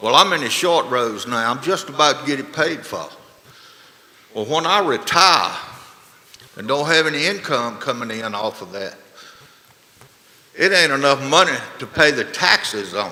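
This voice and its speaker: Over noticeable background noise, a man with a Virginia accent talks at a moderate pace and fairly high pitch, with lively intonation, big swings in loudness, and long, frequent pauses. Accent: Southern US (rural Virginia). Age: 60s. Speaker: farmer, public speaker at hearing. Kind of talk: public comment at tax hearing. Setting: board meeting room.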